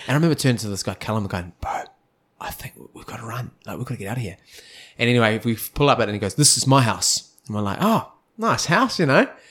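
A man's medium-pitched voice in a New Zealand accent, very fast, with ordinary pitch variation and big swings in loudness. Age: 20s. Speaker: podcast host. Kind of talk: casual chat.

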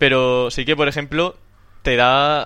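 Pitch sits in the medium range for this man. He keeps a monotone, flat intonation throughout. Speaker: podcast host. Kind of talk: casual chat.

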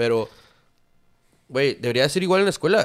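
Keeping a moderate pace, a man with a fairly high pitch makes very wide pitch swings. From Durango, northern Mexico. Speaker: graphic designer and hospitality manager. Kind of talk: casual chat.

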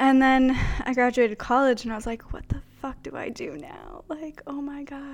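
Over noticeable background noise, a woman speaks at a high pitch and a moderate pace. Her pitch variation is ordinary, but her loudness swings a lot. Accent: American. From Pennsylvania. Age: 20s. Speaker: podcast host, photographer. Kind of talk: casual chat.

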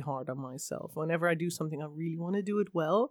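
Pitched fairly low, a woman with a Dutch accent speaks with ordinary pitch variation in a dry, close sound with no echo. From Netherlands. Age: 30s. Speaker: tabletop game master. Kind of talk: casual chat.

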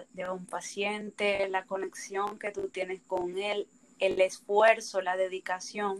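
The pace is very slow. The speaker has a Dominican accent. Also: woman. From Dominican Republic. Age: 20s. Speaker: dental student, podcast co-host. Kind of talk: casual chat.

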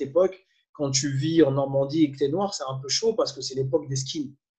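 The man's voice is somewhat breathy, with ordinary pitch variation. He moves at a moderate pace. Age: 30s. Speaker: coach and former musician. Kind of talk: interview. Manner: animated.

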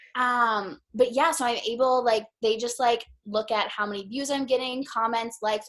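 Fairly high in pitch with ordinary variation, a woman with a plain, everyday voice speaks at a moderate pace. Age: 20s. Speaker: social media creator. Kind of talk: casual chat.

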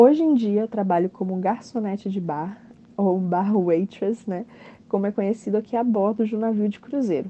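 A woman with a plain, everyday voice talks at a moderate pace, her medium pitch showing ordinary pitch variation. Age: 20s. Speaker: cruise ship bar waitress. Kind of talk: recorded interview answers. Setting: aboard a cruise ship at sea.

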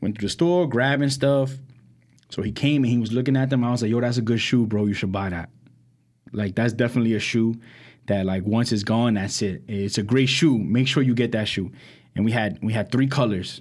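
A man with a New York accent at a fairly quick pace, medium pitch and ordinary pitch variation, on a very clean recording with a silent background. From Brooklyn, New York. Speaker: podcast co-host. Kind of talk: casual chat.

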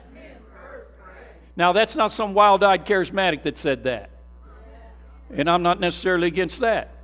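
With music in the background, a man with a high pitch speaks in an animated tone, leaving long, frequent pauses. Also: ordinary pitch variation, moderate pace, big swings in loudness. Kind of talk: sermon, preacher in full flow. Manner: animated, call-and-response, urging the congregation to say amen; repetitive, emphatic, punching key words with rhetorical questions.

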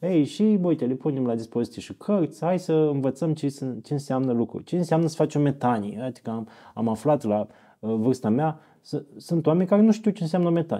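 Fairly high male voice, dark and mellow in tone, with lively intonation at a fairly quick pace against a quiet background. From Romania, Iași (Moldavia). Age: 40s. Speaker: fasting camp organizer, former journalist. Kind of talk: casual interview. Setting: monastery.

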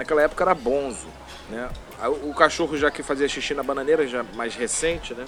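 Speaking at a fairly quick pace, a man with a fairly high pitch is heard over noticeable background noise. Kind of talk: casual chat. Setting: at home. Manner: halting, repeats words.

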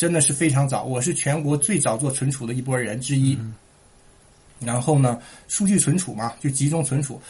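A man with a fairly high pitch talks with ordinary pitch variation. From Heilongjiang, northeast China (Shuangyashan). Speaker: immigrant entrepreneur. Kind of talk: casual interview chat.

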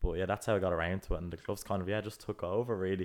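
A man at a very fast pace and fairly low pitch, with an Irish accent. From Ireland. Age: 20s. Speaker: podcast co-host, student entrepreneur. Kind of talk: casual chat.

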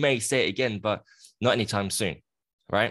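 Against a quiet background, a man with a British accent and a fairly low pitch speaks at a very fast pace. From UK. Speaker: coach and charity founder. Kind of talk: interview about personal abuse story.

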